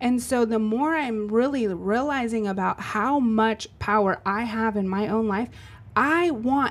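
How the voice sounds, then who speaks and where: In a very clean recording with a silent background, a woman with a normal speaking voice and a fairly high pitch speaks at a fairly slow pace with ordinary pitch variation. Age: 40s. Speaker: podcast co-host and business owner. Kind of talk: casual chat.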